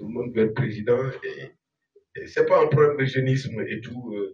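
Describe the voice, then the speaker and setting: A man's voice at a moderate pace. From Senegal. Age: 60s. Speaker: presidential candidate. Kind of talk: public hearing Q&A. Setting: hotel conference room with audience. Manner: talkative.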